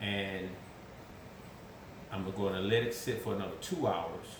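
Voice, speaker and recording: Through noticeable background noise and audible room echo, a man speaks with an American accent at a fairly low pitch. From US South. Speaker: cook. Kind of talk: tutorial. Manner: casual.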